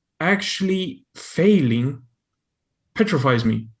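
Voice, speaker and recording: Over a quiet background, a man with a non-native accent speaks at a fairly high pitch. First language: not English. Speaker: audience member asking a question. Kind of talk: question from audience. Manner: halting, many fillers and repeats.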